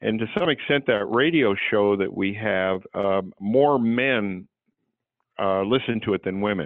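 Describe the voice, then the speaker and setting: A man with an American accent speaks fairly slowly in a normal speaking voice, fairly low in pitch with ordinary pitch variation. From California, Santa Barbara. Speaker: clinical psychologist and author. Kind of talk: interview.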